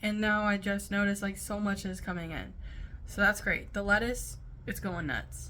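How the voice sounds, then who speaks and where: A woman's mumbling at a moderate pace. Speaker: stay at home mom. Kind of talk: casual talk to camera.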